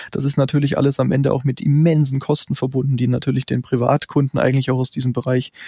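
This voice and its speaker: The voice has a dark, mellow tone and is somewhat breathy, delivered at a very fast pace in monotone, flat intonation. The sound is dry and close, with no echo. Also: man. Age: 30s. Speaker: trader and investment firm founder. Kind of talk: interview.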